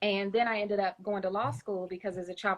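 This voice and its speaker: Speaking at a very fast pace, a woman with a medium pitch talks in a Kentucky accent. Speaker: children's book author. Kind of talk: interview. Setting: Instagram Live. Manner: hesitant, many fillers.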